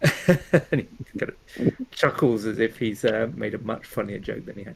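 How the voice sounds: The text is delivered in a natural reading voice with lively intonation.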